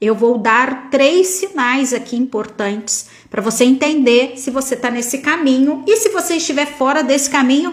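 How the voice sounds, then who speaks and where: Amid noticeable background noise, a woman with a high pitch speaks at a moderate pace in an animated tone. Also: ordinary pitch variation, hardly any pauses. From interior of São Paulo state, Brazil. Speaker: tarot reader and prosperity mentor. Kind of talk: live stream talk. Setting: live stream on camera.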